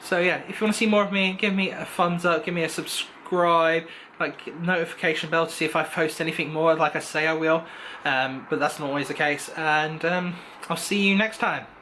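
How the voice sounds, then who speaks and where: Speaking at a fairly quick pace, a man with a high voice keeps his intonation fairly even over noticeable background noise. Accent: English. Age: 20s. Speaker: vlogger. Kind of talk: casual vlog monologue. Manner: fast; rambling, filler-heavy.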